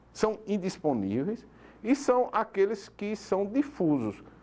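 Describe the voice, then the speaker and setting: A man's high-pitched voice with a dark, mellow tone and very wide pitch swings. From Paraíba, northeastern Brazil (João Pessoa). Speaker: public prosecutor. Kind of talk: TV interview. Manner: hesitant fillers, explanatory.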